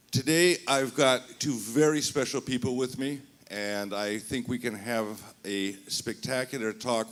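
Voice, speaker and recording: An ordinary speaking voice belongs to a man who talks with an American accent at medium pitch and a fairly slow pace, with ordinary pitch variation. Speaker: magazine editor and panel moderator. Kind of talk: panel moderation.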